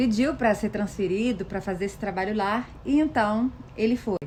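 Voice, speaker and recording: This woman talks at a fairly slow pace. Her voice sits at a medium pitch with ordinary pitch variation. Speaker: social media content creator. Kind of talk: casual talk to camera. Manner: animated.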